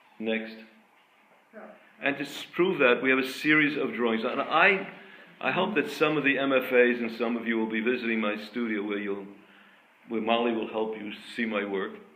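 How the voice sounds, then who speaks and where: In a room with audible echo, a man speaks at a medium pitch. He leaves long, frequent pauses. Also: ordinary pitch variation, moderate pace. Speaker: artist and art school founder. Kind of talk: lecture. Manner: halting.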